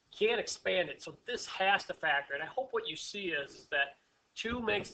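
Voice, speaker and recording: With a bright, sharp tone, a man talks at a fairly quick pace. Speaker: math teacher. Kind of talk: tutorial. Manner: fast.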